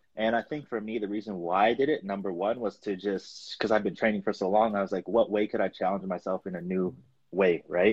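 A man with a normal speaking voice, fairly low in pitch, at a fairly quick pace and with fairly even intonation. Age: 20s. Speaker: natural bodybuilding competitor. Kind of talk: casual chat.

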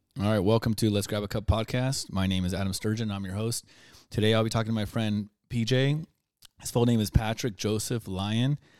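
Speaking at a fairly quick pace with fairly even intonation, a man with a fairly low pitch has an ordinary speaking voice on a very clean recording with a silent background. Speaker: podcast host. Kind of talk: interview.

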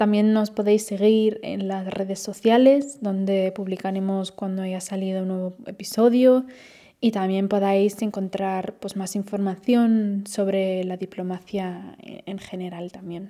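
A woman's dark, mellow tone, monotone and flat, at a fairly slow pace in a very clean recording with a silent background. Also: medium pitch for a woman, big swings in loudness. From Spain/Austria. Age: 20s. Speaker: podcast host, translation student. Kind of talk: podcast monologue. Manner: casual, with fillers.

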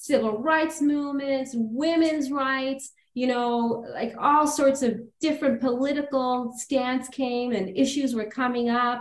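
At a fairly slow pace, a woman talks in a high pitch with fairly even intonation and hardly any pauses, and the room gives off audible echo. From Toronto, Canada. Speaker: lawyer and law firm founder. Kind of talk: casual interview.

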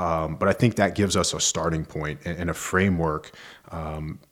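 A man with an American accent talks at a fairly quick pace in a very deep, low pitch. His intonation is fairly even, and the recording is very clean with a silent background. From western Virginia (Roanoke). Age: 30s. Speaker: author and life coach. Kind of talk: casual interview.

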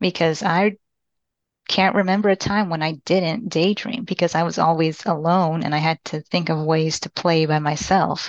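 Against a quiet background, a woman speaks at a moderate pace with fairly low pitch and fairly even intonation, the sound dry and close with no echo. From Texas (Austin), born in Panama. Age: 20s. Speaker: person with maladaptive daydreaming. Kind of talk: interview. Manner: halting.

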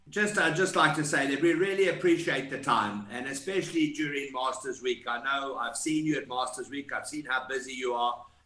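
Noticeable background noise accompanies a man with a fairly high pitch and ordinary pitch variation. He speaks at a fairly quick pace with hardly any pauses. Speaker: golf podcast co-host. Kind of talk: interview.

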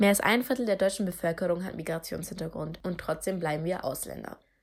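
In an unremarkable speaking voice of medium pitch, a woman talks at a fairly quick pace with fairly even intonation, on a very clean recording over a silent background. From Germany, Turkish family. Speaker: podcaster. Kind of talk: scripted monologue.

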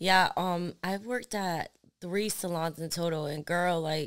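In a very clean recording with a silent background, a woman talks at a fairly slow pace in a normal speaking voice with a fairly low pitch. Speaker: podcast host and lash artist. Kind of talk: casual chat.

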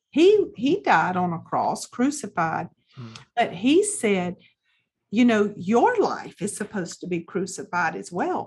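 Against a quiet background, a woman talks with a Southern US accent. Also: fairly slow pace, big swings in loudness. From US South, South Carolina. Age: 50s. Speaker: pastor and author. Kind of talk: interview testimony.

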